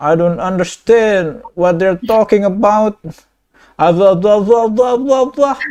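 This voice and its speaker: A man speaks at a fairly slow pace with a high pitch. His pitch variation is ordinary. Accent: non-native. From Indonesia. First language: Indonesian. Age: 20s. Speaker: video chat prankster. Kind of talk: casual chat. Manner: halting.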